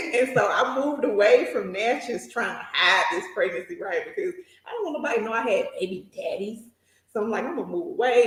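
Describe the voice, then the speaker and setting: Speaking with a Southern US accent, a woman talks at a fairly quick pace in a high pitch. Her tone is animated, with very wide pitch swings. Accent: Southern country. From US South, south Mississippi. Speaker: nurse and journal entrepreneur. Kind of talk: interview. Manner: animated storytelling.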